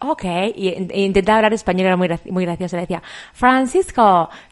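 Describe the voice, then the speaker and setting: This woman has an ordinary speaking voice. Her pitch varies in an ordinary way. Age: 40s. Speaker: podcast co-host. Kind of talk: casual chat.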